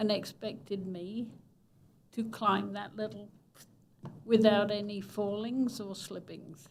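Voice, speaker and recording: A woman talks at a medium pitch and a very slow pace. Audible room echo surrounds her voice. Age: 80s+. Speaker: resident speaking at public comment. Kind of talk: public comment at city council meeting.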